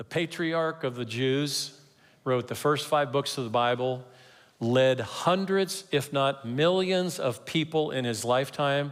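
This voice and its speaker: A fairly slow, lively-sounding man with a fairly high pitch and a normal speaking voice. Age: 60s. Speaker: pastor. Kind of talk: sermon.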